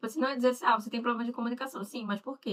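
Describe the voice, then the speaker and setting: A woman with a northeastern Brazilian accent speaks at a fairly high pitch, her pitch rising and falling in an ordinary way. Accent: Northeastern Brazilian, marked. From Northeast Brazil. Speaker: mentor and live show host. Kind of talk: live interview chat.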